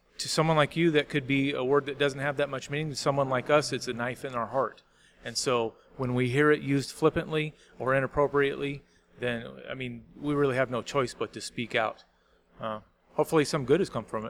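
Speaking in an ordinary speaking voice, a man talks at a fairly quick pace with fairly even intonation and a fairly high pitch. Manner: joking.

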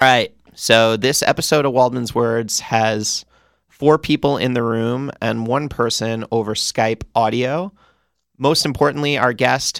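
This is a man with an unremarkable speaking voice, medium in pitch and fairly slow in pace. The sound is dry and close with no echo, on a very clean recording with a silent background. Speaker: radio host. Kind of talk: casual chat. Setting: studio.

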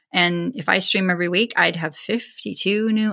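At a moderate pace, a woman with an American accent speaks in a bright, sharp tone with lively intonation and vocal fry. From California. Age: 40s. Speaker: sewing livestreamer. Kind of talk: interview.

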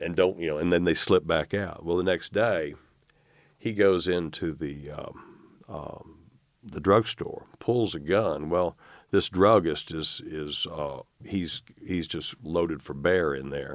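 A man with a very deep, low voice and an Arkansas accent, speaking at a fairly slow pace with ordinary pitch variation. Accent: US Southern (Arkansas). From Arkansas, North Little Rock. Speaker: newspaper publisher. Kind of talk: interview. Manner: halting.

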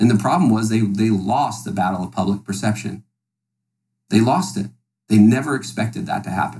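A man with an American accent speaks in a fairly low pitch and a dark, mellow tone with vocal fry. He moves at a fairly quick pace with very wide pitch swings and long, frequent pauses. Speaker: podcast guest. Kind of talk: political debate.

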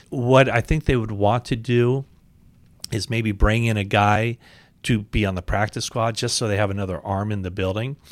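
Speaking in an ordinary speaking voice, a man talks at a moderate pace with a fairly low pitch. His intonation is fairly even, in a very clean recording with a silent background. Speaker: sports podcast host. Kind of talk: interview.

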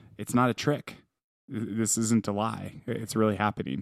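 A man talks in a medium pitch with fairly even intonation. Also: very clean recording, silent background. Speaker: podcast co-host, parent. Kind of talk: casual chat. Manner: loud.

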